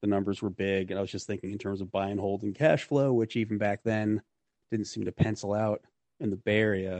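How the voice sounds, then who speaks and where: With an ordinary speaking voice, a man talks at a fairly quick pace, his fairly low pitch following fairly even intonation. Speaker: real estate investor. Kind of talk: interview, casual conversation.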